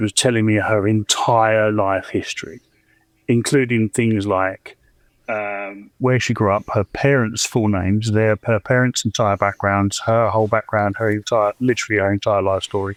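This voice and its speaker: In a southern English accent, a man speaks fairly low, with fairly even intonation. The sound is dry and close, with no echo. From southeast England (Chatham, Kent). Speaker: caller. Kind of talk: personal storytelling. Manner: halting, many fillers.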